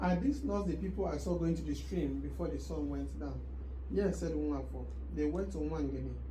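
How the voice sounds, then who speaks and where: Noticeable background noise sits behind a man with a very deep, low pitch who speaks at a moderate pace. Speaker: book reader. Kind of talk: audiobook novel reading. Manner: warm, heartfelt.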